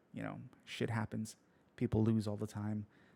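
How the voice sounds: At a fairly slow pace, a man speaks in a croaky voice with vocal fry and a dark, mellow tone.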